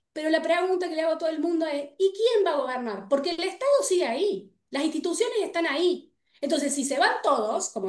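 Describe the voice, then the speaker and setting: A woman with a Rioplatense accent, at a fairly quick pace. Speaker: political scientist and researcher. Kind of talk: panel debate. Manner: fast.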